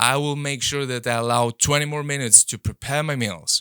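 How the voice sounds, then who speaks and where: In a non-native accent, a man speaks with a bright, sharp tone on a very clean recording with a silent background, the sound dry and close with no echo. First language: not English. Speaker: podcast host and coach. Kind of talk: motivational podcast monologue. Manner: repetitive, hesitant restarts.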